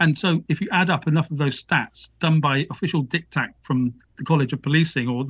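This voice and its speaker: A man speaks at a moderate pace with a British accent. His fairly high voice keeps a fairly even intonation. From UK. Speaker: author and academic. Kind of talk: interview. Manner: halting.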